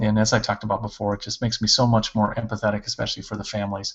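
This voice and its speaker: A man talks with a fairly low pitch. There is noticeable background noise. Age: 40s. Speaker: school principal. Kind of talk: casual interview on a video podcast.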